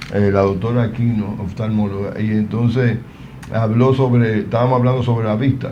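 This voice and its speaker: A man's medium-pitched voice at a moderate pace, monotone and flat in intonation, very even in loudness, with audible room echo and noticeable background noise. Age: 60s. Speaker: TV health show host. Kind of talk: live TV talk show.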